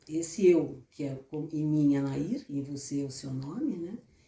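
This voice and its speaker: A woman's voice is somewhat breathy, with a dark, mellow tone. She speaks at a fairly slow pace. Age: 70s. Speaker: therapist and author. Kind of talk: book presentation talk.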